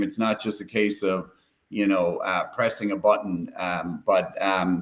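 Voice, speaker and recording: At a fairly slow pace, a man speaks in an Irish accent with a fairly low pitch. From Ireland, Cork. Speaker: tech company executive. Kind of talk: live stream panel discussion.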